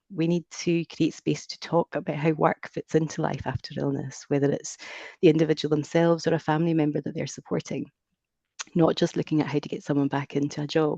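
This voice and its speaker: The speaker talks at a fairly quick pace with a Scottish accent. The background is quiet. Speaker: careers advisor presenting research. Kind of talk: research presentation. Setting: video call. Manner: scripted, measured.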